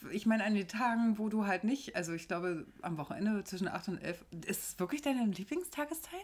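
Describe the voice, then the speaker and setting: At a moderate pace, a woman talks in a fairly high, somewhat breathy voice with very wide pitch swings. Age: 30s. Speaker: podcast co-host. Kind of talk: casual chat. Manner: animated.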